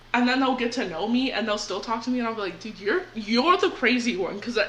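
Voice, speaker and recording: In a room with audible echo and noticeable background noise, a woman talks fairly quickly at a fairly high pitch. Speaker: podcast co-host. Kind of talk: casual chat.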